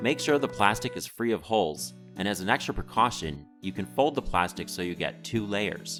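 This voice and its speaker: A man with an American accent speaks at a fairly low pitch, his voice swinging very widely up and down, with music playing in the background. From United States. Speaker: educational video narrator. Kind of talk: instructional narration.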